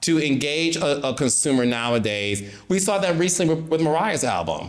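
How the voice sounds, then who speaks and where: Amid audible room echo, a man with a fairly high pitch talks at a moderate pace with lively intonation. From Detroit, Michigan. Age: 40s. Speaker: reality TV producer. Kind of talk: podcast debate. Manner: animated.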